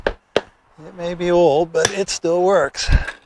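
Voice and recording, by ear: A man speaks at a slow pace, his pitch high and his tone slightly mellow, with fairly even intonation.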